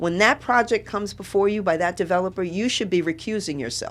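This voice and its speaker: A woman with a New York accent speaks at a medium pitch. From New York City (Brooklyn). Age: 70s. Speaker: political candidate. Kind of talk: radio interview.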